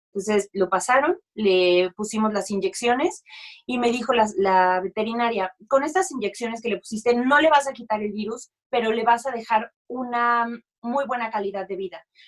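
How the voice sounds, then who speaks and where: A woman talks at a moderate pace in a fairly high pitch. Her pitch rises and falls in an ordinary way. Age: 30s. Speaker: musical theatre actress and dog rescuer. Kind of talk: casual chat. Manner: animated.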